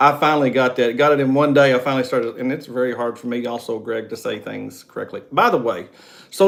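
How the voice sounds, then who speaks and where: A man speaks in a West Virginia accent at a fairly quick pace. His pitch is medium. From West Virginia coal fields. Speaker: travel vlogger. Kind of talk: casual chat. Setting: live stream.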